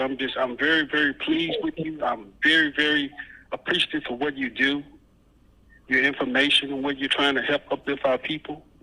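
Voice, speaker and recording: In a plain, everyday voice, a man talks at a fairly quick pace and a fairly high pitch. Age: 50s. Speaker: caller, Nation of Islam member. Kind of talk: call-in encouragement.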